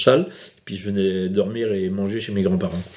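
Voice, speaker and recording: Speaking at a fairly quick pace, a man talks in a fairly low pitch. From France, Brittany, Morbihan island. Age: 60s. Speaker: fisherman. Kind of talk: documentary interview. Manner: hesitant.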